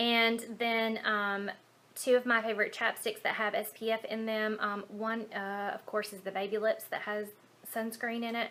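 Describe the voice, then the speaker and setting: With a Southern US accent, a woman speaks in a bright, sharp tone at a fairly high pitch and a moderate pace, her intonation monotone and flat. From Alabama, USA. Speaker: beauty vlogger. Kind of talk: casual talk to camera. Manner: casual, hesitant with fillers.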